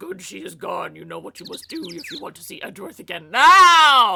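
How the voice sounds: A put-on character voice, high-pitched and menacing, with very wide pitch swings at a moderate pace.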